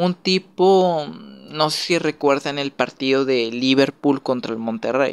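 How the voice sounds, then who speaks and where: In a Mexican accent, a man with a fairly high pitch and ordinary pitch variation speaks at a fairly slow pace, the sound dry and close with no echo. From Mexico. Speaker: YouTuber, football commentator. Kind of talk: casual monologue. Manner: hesitant, many fillers.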